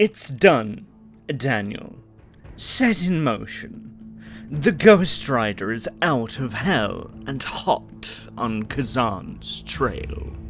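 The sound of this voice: Over clear music, a man puts on a character voice at medium pitch and speaks very slowly.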